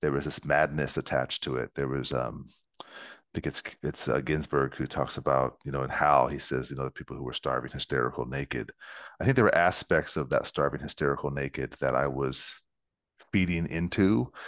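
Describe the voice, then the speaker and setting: A man with a very deep, low pitch and vocal fry speaks fairly quickly with fairly even intonation. The sound is dry and close with no echo, over a quiet background. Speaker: poet. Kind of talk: interview.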